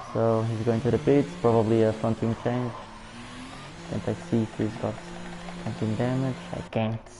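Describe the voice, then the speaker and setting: Over noticeable background noise, a man with a Portuguese accent speaks at medium pitch and a moderate pace, with monotone, flat intonation and long, frequent pauses. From Portugal. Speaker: sim racing league commentator. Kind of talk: live commentary. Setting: live stream.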